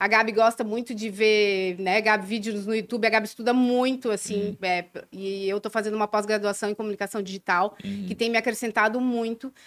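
A woman with a fairly high pitch speaks fairly quickly in a monotone, flat intonation, with hardly any pauses. The recording is very clean with a silent background and a dry, close sound with no echo. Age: 40s. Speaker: clothing brand co-founder, entrepreneur. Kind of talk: interview conversation.

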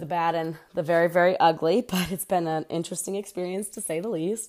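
In a very clean recording with a silent background, a woman with an American accent, an unremarkable speaking voice and a fairly low pitch talks at a moderate pace. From Pennsylvania. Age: 30s. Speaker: podcast host. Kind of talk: casual solo monologue. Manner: casual, frequent fillers.

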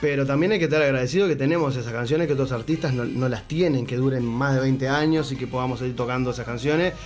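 Over music in the background and audible room echo, a man with a Uruguayan accent talks at a very fast pace with hardly any pauses, at a medium pitch and with ordinary pitch variation. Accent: Uruguayan Rioplatense Spanish. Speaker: musician. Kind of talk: casual interview chat.

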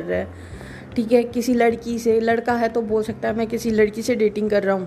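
Pitched fairly high, a woman speaks at a moderate pace against noticeable background noise. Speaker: podcaster. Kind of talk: casual monologue. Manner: pauses often.

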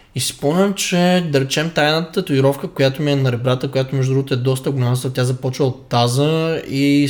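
At a fairly quick pace, a man with a normal speaking voice talks at a medium pitch with fairly even intonation. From Bulgaria, Stara Zagora. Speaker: fitness coach podcast co-host. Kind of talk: casual chat.

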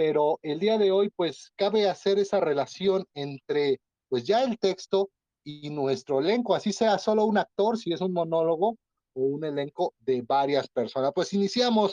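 Lively intonation marks a man's high-pitched voice at a fairly slow pace. The sound is dry and close, with no echo. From Mexico, Puebla (Atlixco). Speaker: podcast host, theatre director. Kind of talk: casual panel discussion.

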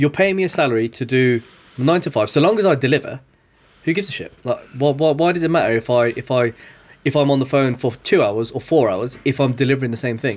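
Over music in the background, a man speaks very fast at medium pitch with ordinary pitch variation. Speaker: podcast host. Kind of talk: casual interview chat.

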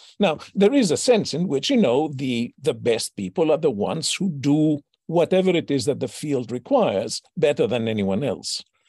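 This man's voice sits at a fairly high pitch and swings very widely in pitch. His tone is dark and mellow, with vocal fry. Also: moderate pace, hardly any pauses, dry, close sound with no echo. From Greece, Athens. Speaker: philosophy professor. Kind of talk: interview.

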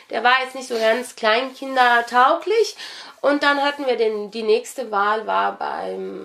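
A woman is speaking. Her pace is very slow. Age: 20s. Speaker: local election candidate and law student. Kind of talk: interview. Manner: hesitant with many fillers.

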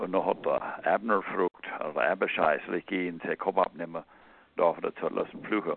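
A man talks with a Pennsylvania Dutch accent. His pace is moderate. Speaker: caller. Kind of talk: devotional talk. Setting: phone call.

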